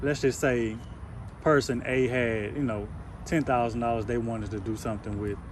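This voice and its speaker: Audible room echo surrounds a man speaking at medium pitch with fairly even intonation. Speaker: real estate investor. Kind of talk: casual conversation with a seller. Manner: fast.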